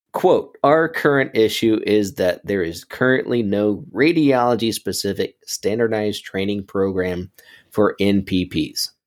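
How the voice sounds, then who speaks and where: With a plain, everyday voice, a man speaks at a fairly low pitch and a fairly slow pace, his intonation lively. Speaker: radiologist assistant, podcast co-host. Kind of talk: casual chat.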